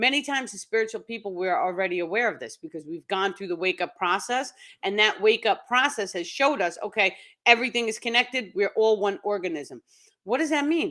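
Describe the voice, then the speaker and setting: In a New York accent, a woman speaks very fast at a fairly high pitch, her bright, sharp tone carried by lively intonation and big swings in loudness, on a very clean recording with a silent background. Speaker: spiritual teacher. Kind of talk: live stream talk. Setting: live stream.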